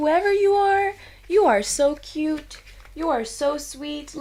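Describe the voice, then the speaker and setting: A woman puts on a squeaky character voice, high in pitch, speaking at a fairly slow pace with lively intonation over light background noise. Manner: sweet, gushing, cooing.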